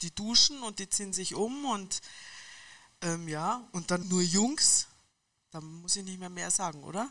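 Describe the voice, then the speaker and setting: At a fairly slow pace with long, frequent pauses, a woman speaks at a medium pitch, with lively intonation and big swings in loudness. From Munich, Bavaria. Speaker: football club laundry worker. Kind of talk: casual interview.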